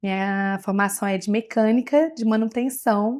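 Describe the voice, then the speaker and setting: Speaking at a fairly slow pace in a Minas Gerais accent, a woman with a fairly high voice shows ordinary pitch variation on a very clean recording with a silent background. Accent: Minas Gerais (mineiro). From Bahia, Brazil (interior). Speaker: technology executive in transport sector. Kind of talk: podcast interview. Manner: halting, with frequent fillers and restarts.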